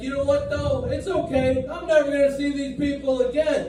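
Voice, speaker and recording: A put-on character voice from a man, gruff and extremely high-pitched, at a moderate pace with slight echo. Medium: stage play. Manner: blunt, gruff.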